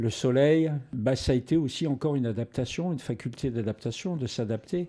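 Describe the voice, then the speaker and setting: A man talks fairly quickly with ordinary pitch variation. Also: medium pitch for a man. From northern France (Arras, Nord-Pas-de-Calais). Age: 60s. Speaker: actor. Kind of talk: interview. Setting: home studio. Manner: halting, many repetitions and fillers.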